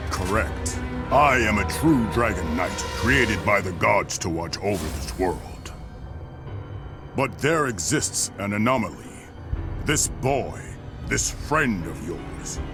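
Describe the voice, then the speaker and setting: A man's cartoonish character voice, fairly low in pitch and fairly slow, over loud music in the background. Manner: calm, authoritative.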